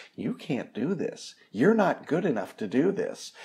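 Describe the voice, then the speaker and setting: A man in a put-on character voice, high in pitch, at a moderate pace. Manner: taunting, critical.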